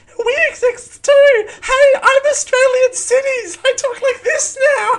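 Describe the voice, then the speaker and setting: An extremely high, put-on character voice moves at a fairly slow pace. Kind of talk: cheesy commercial announcer. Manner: exaggerated, promotional.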